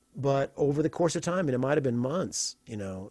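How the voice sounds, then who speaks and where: A man with an American accent talks at a moderate pace in an unremarkable speaking voice, with lively intonation, on a very clean recording with a silent background. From US Midwest, Evansville, Indiana. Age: 50s. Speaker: guitarist. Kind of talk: casual chat.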